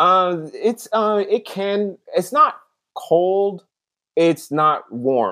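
A man with an American accent speaks very slowly in a raised, projected voice, his high pitch carried by lively intonation. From Seattle, US West Coast. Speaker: podcast guest. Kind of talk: casual chat.

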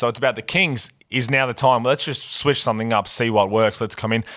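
A man with an Australian accent talks at a very fast pace with ordinary pitch variation. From Adelaide, Australia. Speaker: basketball podcast co-host, former pro player. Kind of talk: casual sports banter podcast.

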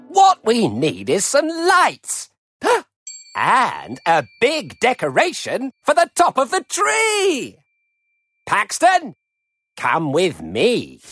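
Very slow speech over music in the background. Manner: gruff, bossy, scheming.

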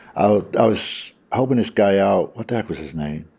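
A man speaks with a New York accent. His tone is dark and mellow. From Brooklyn, New York. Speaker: homeless man without photo ID. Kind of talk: interview recollection.

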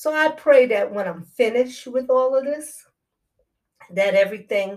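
The voice belongs to a woman with a fairly high pitch. She speaks at a moderate pace. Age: 60s. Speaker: podcast host and breast cancer patient. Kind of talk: personal monologue. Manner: halting.

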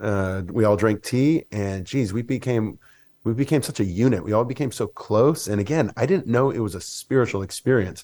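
A plain, everyday voice with an American accent, at a moderate pace. Pitch varies in an ordinary way over a silent background in a very clean recording. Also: man, medium pitch for a man. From US South, Mississippi. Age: 40s. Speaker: wellness coach and musician. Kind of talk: casual chat.

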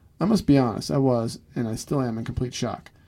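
This man has a medium-pitched voice with a dark, mellow tone and ordinary pitch variation. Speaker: podcast co-host. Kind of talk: casual chat. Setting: studio. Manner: jokey.

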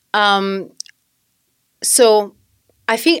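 With an Italian accent, a woman speaks at a medium pitch with fairly even intonation in a very clean recording with a silent background. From southern Italy. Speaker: mom content creator. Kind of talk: interview.

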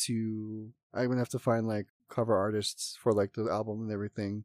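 A man talks at a fairly quick pace in a medium pitch. The sound is dry and close, with no echo. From Hawaii (Oahu, Salt Lake area). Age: 20s. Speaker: EDM DJ and producer. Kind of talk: casual interview chat. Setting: studio, on a couch.

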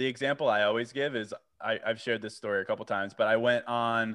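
A medium-pitched man with an American accent and a monotone, flat intonation. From Virginia. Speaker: podcaster and journal author. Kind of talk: casual chat.

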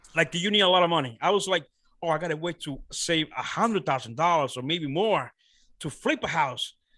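Against a quiet background, a man with a high pitch and a bright, sharp tone speaks at a fairly quick pace. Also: ordinary pitch variation. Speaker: real estate investor. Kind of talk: interview. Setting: podcast interview. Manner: halting with many fillers.

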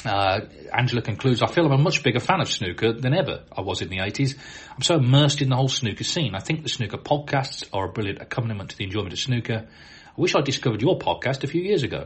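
A man with a medium-pitched voice talks at a very fast pace, somewhat breathy, with lively intonation and hardly any pauses. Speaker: snooker podcast host. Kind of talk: reading listener emails aloud. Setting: hotel room.

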